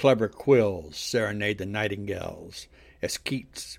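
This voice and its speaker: Fairly low-pitched and somewhat breathy, a man delivers his lines in a dramatic, intense tone at a fairly slow pace with ordinary pitch variation. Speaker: podcast host and poet. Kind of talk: spoken word poetry reading, solemn, with a chatty intro. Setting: home recording. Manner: dramatic, measured, intense; hesitant, casual in intro.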